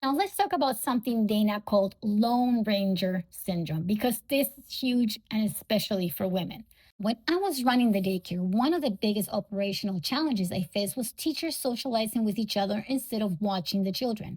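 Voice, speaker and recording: A woman with a non-native accent speaks at a fairly quick pace with hardly any pauses. Her fairly high voice is somewhat breathy, with lively intonation. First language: not English. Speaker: podcast host, bookkeeper and business coach. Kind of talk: solo podcast monologue.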